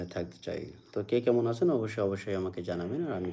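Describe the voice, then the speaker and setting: Ordinary pitch variation marks this man's very deep, low voice. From Bangladesh, Jessore district. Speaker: YouTube live streamer, primary school teacher. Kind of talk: live stream chat with viewers.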